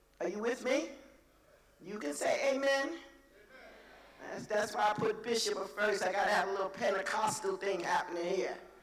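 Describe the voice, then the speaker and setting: The speaker keeps a moderate pace but leaves long, frequent pauses. Noticeable background noise sits behind the voice. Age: 70s. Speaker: conference speaker. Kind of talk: motivational speech. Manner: animated.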